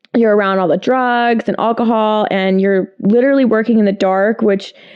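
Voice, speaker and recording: A woman talks at a moderate pace with fairly high pitch. Her intonation stays fairly even and her loudness very even. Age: 20s. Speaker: model and reiki therapist. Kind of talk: casual chat.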